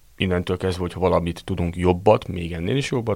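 A man talks at a very fast pace with a very deep, low pitch. His voice is somewhat breathy, with ordinary pitch variation. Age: 30s. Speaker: restaurant manager. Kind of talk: interview.

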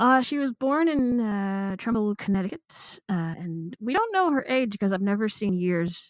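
This woman has a normal speaking voice at medium pitch, moving at a moderate pace with lively intonation and hardly any pauses, in a dry, close sound with no echo. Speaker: audiobook commentator. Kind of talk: casual chat discussing a narrator.

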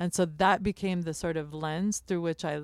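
In a very clean recording with a silent background, a woman with an ordinary speaking voice and an American accent talks at a moderate pace and fairly low pitch. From United States. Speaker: chef and bakery owner. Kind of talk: interview. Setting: live broadcast from a trailer at a food festival.

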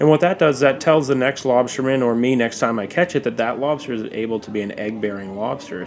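The speaker talks at a fairly quick pace with hardly any pauses and ordinary pitch variation. Noticeable background noise is present. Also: man. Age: 30s. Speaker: lobsterman. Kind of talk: casual chat.

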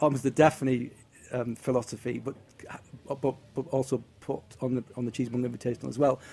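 A man with a northeast English accent speaks at medium pitch in a dark, mellow tone. He leaves long, frequent pauses. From northeast England. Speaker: cheese tour organizer. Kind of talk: casual chat.

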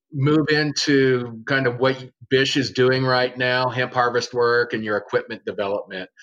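Fairly slow male speech at a medium pitch. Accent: American. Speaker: podcast host. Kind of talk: casual chat. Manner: animated.

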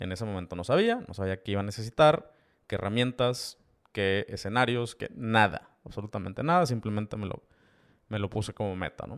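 With a Mexican accent, a man speaks at a fairly quick pace in a fairly low voice with ordinary pitch variation, on a very clean recording with a silent background. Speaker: podcast host and e-commerce entrepreneur. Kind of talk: solo podcast monologue. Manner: casual, with many fillers and repetitions.

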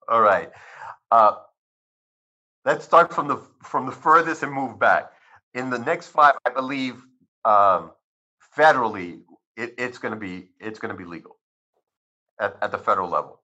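A man with a Spanish accent, medium pitch and a bright, sharp tone, at a moderate pace with long, frequent pauses and big swings in loudness. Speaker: cannabis physician. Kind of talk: interview. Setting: video call.

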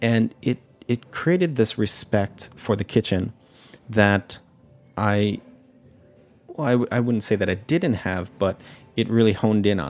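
Over background music, a man with an American accent talks with lively intonation and a fairly low pitch. He takes long, frequent pauses. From New York City, with childhood years in Japan. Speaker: sake sommelier and restaurant owner. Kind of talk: casual interview chat. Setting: studio.

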